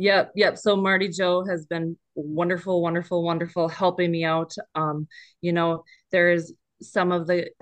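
Speaking in an Upper Midwest accent, a woman with a fairly low pitch keeps a monotone, flat intonation. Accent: sounds local, Upper Midwest. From northern Minnesota. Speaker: equine therapy counselor. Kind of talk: casual interview.

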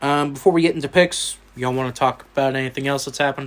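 A man at medium pitch, with an American accent. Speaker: sports podcast host. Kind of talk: casual chat.

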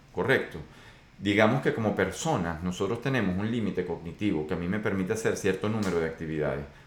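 Talking at a very fast pace, a man with a very deep, low pitch and ordinary pitch variation is heard with audible room echo. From Venezuela. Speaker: podcast host on complex systems. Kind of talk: solo monologue podcast. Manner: hesitant with fillers.

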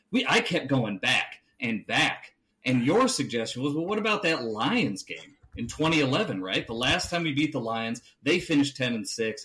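With an American accent, a man speaks at a moderate pace in a fairly high, bright, sharp voice whose pitch swings very widely. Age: 30s. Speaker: sports podcast host. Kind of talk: casual chat.

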